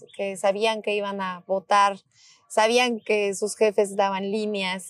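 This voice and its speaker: A woman with a Mexican accent speaks at a fairly high pitch and fairly slow pace. The very clean recording has a silent background and a dry, close sound with no echo. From Mexico, Michoacán (Morelia). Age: 30s. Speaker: politician. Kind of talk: interview.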